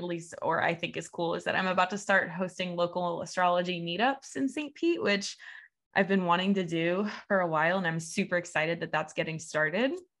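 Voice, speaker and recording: A woman with a Midwestern American accent talks at a fairly quick pace and a medium pitch. Her pitch varies in an ordinary way against a quiet background. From US Midwest (Evansville, Indiana). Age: 20s. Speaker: podcast host, astrologer and dance teacher. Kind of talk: casual solo monologue. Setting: video recording with screen share.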